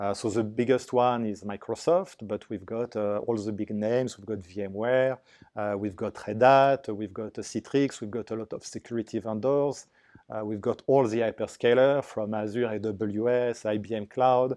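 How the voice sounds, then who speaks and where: Speaking at a fairly slow pace with a French accent, a man uses a dark, mellow tone and fairly even intonation against a quiet background. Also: medium pitch for a man, big swings in loudness. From France. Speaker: business development manager. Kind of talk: business interview. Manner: halting.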